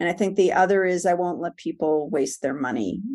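The speaker talks with a New York accent against a quiet background. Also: woman. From New York area (Manhattan, Long Island, New Jersey). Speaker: promotional products seller. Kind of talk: interview.

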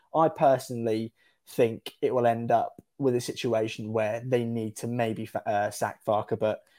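A man with an English accent speaks at a moderate pace in a medium-pitched voice with a dark, mellow tone. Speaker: football fan guest. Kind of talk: casual chat.

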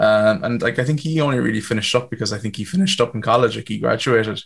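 A man talks with a Waterford accent. His pace is fairly quick. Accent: Waterford Irish. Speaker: musician. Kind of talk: casual chat.

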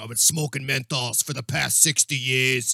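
Putting on a character voice, a man speaks at a moderate pace in a husky, raspy, medium-pitched voice with monotone, flat intonation.

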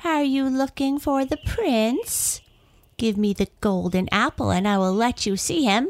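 A female-sounding, high-pitched put-on character voice, cackling at a moderate pace, on a very clean recording with a silent background.

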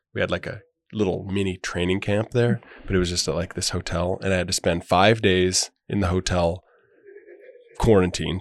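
With an American accent and a very deep, low pitch, a man talks at a moderate pace with fairly even intonation and long, frequent pauses, the sound dry and close with no echo. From Montana (Great Falls). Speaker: professional basketball player. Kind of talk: casual chat. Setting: studio.

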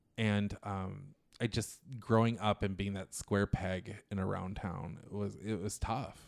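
A man with a plain, everyday voice, fairly low pitch, fairly even intonation and a fairly slow pace, on a very clean recording with a silent background. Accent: American. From Minnesota, US. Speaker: comedian. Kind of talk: casual chat.

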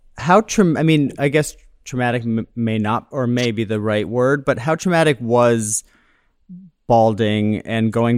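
This is a man with a normal speaking voice at a medium pitch. He talks at a moderate pace with lively intonation. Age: 30s. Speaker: podcast host. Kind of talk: casual chat.

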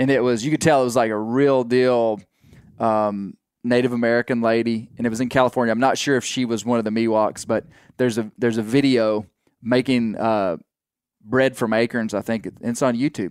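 Speaking fairly quickly with a Southern US accent, a man keeps a medium pitch and fairly even intonation. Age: 40s. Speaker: podcast host. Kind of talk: casual chat.

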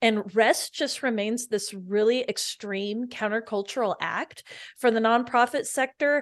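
A woman speaks in an ordinary speaking voice. The background is quiet. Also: fairly high pitch for a woman, ordinary pitch variation. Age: 40s. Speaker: nonprofit community co-founder and podcast host. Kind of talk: casual interview.

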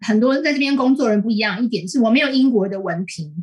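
A woman with a Taiwanese accent, lively intonation and a fairly quick pace. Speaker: columnist. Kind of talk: interview. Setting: remote call.

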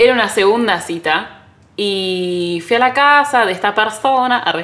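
A woman speaks with a Rioplatense accent and ordinary pitch variation. Background noise is noticeable. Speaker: podcast co-host, content creator and photographer. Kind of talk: casual chat. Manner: animated.

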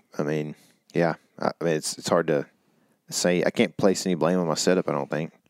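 With an American accent, a man speaks at a fairly quick pace in a very deep, low pitch and fairly even intonation. Long, frequent pauses break up his speech in a dry, close sound with no echo. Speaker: hunting podcast co-host and football coach. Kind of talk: casual chat. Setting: studio.

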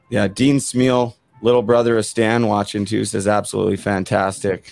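A man's fairly low voice at a fairly quick pace, with fairly even intonation and music in the background. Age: 30s. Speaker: podcast host, former hockey player. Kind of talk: interview conversation.

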